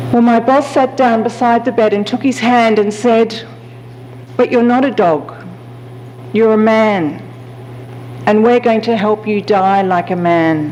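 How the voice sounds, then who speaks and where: The speaker, with an Australian accent, talks at a fairly slow pace with long, frequent pauses. Loudness stays very even over noticeable background noise. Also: woman, fairly high pitch for a woman, ordinary pitch variation. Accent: Australian twang. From Australia, Sydney. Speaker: palliative care physician. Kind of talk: keynote lecture. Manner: hesitant fillers.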